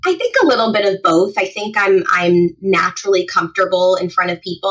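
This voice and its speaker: At a fairly quick pace, a woman talks at a medium pitch in an unremarkable speaking voice. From New Jersey. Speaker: etiquette trainer. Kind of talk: podcast interview.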